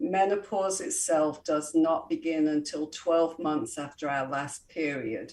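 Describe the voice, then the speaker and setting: In an English accent, a woman speaks at a fairly slow pace. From England, Coventry. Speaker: holistic health and wellness expert. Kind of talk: interview.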